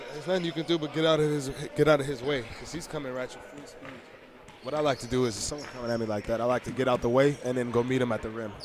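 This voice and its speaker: Amid noticeable background noise, a man talks at a very fast pace and medium pitch, his loudness swinging widely. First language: Armenian. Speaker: basketball game commentator. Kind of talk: live commentary. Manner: animated.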